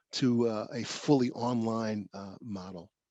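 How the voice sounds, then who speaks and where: With a New York accent, a man speaks at a medium pitch with fairly even intonation. The background is quiet and the sound dry and close, with no echo. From New York, South Bronx. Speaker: professor. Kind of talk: lecture. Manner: halting, many fillers and restarts.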